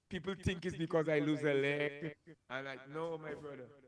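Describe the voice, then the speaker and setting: A man's voice amid noticeable background noise. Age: 60s. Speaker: DJ; interview guest. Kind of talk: casual chat. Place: studio. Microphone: handheld.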